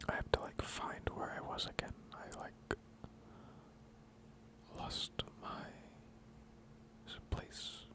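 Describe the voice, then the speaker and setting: Whispering at a very slow pace with long, frequent pauses, a man keeps a relaxed tone over noticeable background noise. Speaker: ASMR content creator. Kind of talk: ASMR lore reading, casual chatty asides. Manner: soft-spoken, relaxed, slow.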